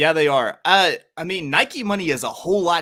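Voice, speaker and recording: A man with a slight Southern US accent speaks in a bright, sharp, animated tone, his fairly high pitch rising and falling with lively intonation. The recording is very clean, with a silent background. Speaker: sports podcast co-host. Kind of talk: casual chat.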